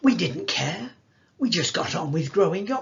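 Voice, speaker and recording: Vocal fry with very wide pitch swings. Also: man. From northern England, Salford. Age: 80s+. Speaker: actor telling life story. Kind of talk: storytelling talk. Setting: video call.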